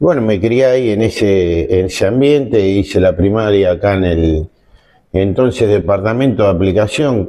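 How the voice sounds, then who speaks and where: A man with a normal speaking voice talks at a moderate pace. His pitch is fairly low, with ordinary variation. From Argentina, Zárate (Buenos Aires province). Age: 60s. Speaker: lawyer and former coast guard officer. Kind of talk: interview testimony. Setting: restaurant recording.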